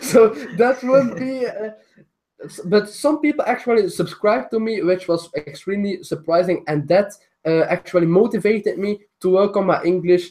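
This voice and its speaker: The speech has a non-native accent. It moves at a moderate pace. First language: not English. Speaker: style YouTuber. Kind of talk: interview. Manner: halting.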